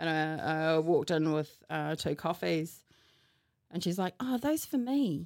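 This woman speaks with a New Zealand accent at very even loudness. The recording is very clean, with a silent background. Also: fairly slow pace. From New Zealand, Hamilton. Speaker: podcast guest. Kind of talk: casual chat.

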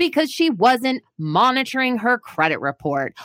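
In a dry, close recording with no echo, a woman sounds animated, her pitch moving in very wide swings. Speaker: credit expert radio host. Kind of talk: radio DJ patter, upbeat show intro with catchphrases and sign-off. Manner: high-energy, animated, chatty and punchy, talking directly to listeners; enthusiastic, playful, with sound effects and slang.

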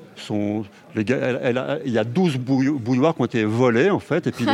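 A man talks at a fairly quick pace with ordinary pitch variation. Noticeable background noise sits behind him. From France, Haute-Savoie. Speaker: film director and novelist. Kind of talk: interview.

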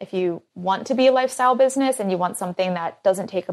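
In an American accent, a woman speaks at a very fast pace with ordinary pitch variation. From US, Philadelphia. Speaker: brand founder. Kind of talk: interview.

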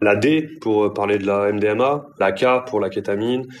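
The speaker is a man with a fairly low pitch. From southern France, Marseille area. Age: 30s. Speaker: journalist. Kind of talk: interview. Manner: hesitant, with fillers and repetitions.

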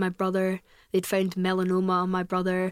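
A woman talks at a fairly quick pace in a Glasgow accent, her pitch medium. The recording is very clean, with a silent background. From Scotland, Glasgow. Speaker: podcaster. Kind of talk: casual chat.

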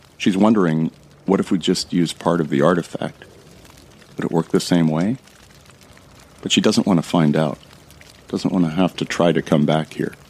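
A man speaks at a moderate pace with a very deep, low pitch and fairly even intonation. Long, frequent pauses break up his speech over noticeable background noise. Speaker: fiction narrator. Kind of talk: scripted first-person audio drama narration. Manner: hushed, tense, dramatic narration.

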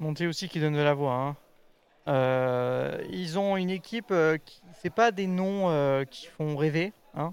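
A man speaks very slowly at a fairly high pitch. His loudness swings widely, while his pitch varies in an ordinary way. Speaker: esports show co-host. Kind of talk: casual chat.

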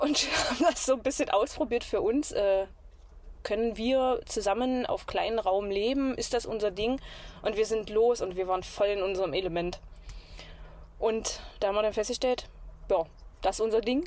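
A woman in a Saxony-Anhalt accent, fairly high in pitch, at a moderate pace with long, frequent pauses. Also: ordinary pitch variation. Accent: regional Magdeburg dialect. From Saxony-Anhalt, near Magdeburg. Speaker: traveler living in a camper. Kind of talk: casual interview.

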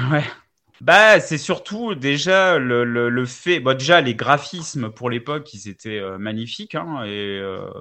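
Moving at a very slow pace, a man's voice shows very wide pitch swings and big swings in loudness. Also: medium pitch for a man. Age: 40s. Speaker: video game enthusiast. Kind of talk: casual chat.

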